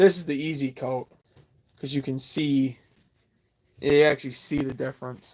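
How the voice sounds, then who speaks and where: A mumbling man with an American accent, fairly high pitch, fairly even intonation, moderate pace and long, frequent pauses. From New York. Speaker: woodworker and live streamer. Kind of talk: casual live stream chat while working. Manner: mumbling, rambling. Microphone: Bluetooth headphones mic, poor quality.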